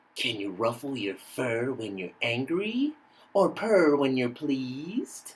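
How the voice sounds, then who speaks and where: A put-on character voice sits at a low-to-middle pitch. It moves at a fairly slow pace. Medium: read story.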